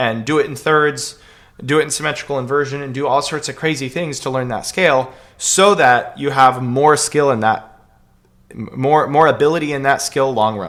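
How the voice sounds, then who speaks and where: Heard in a very clean recording with a silent background, a man speaks at a fairly high pitch with ordinary pitch variation. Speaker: piano teacher. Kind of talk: Q&A livestream answering viewer questions. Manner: fast; casual, filler-heavy.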